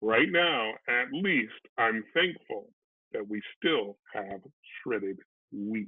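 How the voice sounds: A man's put-on character voice, fairly low and slightly husky, very slow, with lively intonation.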